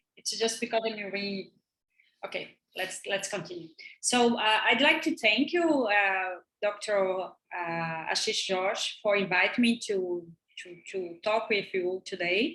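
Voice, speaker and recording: A woman with a Brazilian Portuguese accent speaks at a fairly slow pace in a bright, sharp tone, her medium pitch carried by lively intonation and big swings in loudness. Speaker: professor. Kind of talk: lecture. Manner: halting.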